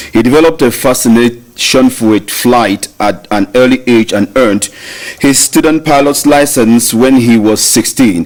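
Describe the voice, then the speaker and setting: Amid noticeable background noise, a man speaks at a moderate pace with very even loudness. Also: medium pitch for a man, ordinary pitch variation. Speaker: radio presenter of a history segment. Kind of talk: scripted history segment.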